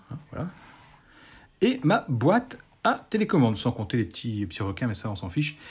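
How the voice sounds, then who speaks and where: Somewhat breathy, a man speaks at a moderate pace. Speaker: YouTuber showing Lego builds. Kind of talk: casual tutorial. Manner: hesitant, with many fillers. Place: home room. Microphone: phone near.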